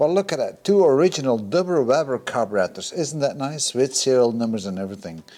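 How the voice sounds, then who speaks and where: Here a man speaks in an ordinary speaking voice at medium pitch, with lively intonation and a fairly quick pace. The recording is very clean, with a silent background. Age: 50s. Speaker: car restoration hobbyist. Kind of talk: workshop video commentary. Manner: casual, thinking aloud.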